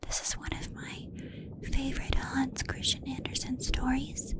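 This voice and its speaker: Whispered speech from a woman at a fairly slow pace, over noticeable background noise. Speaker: ASMR creator. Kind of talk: whispered bedtime story reading. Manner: whispered, soft, slow.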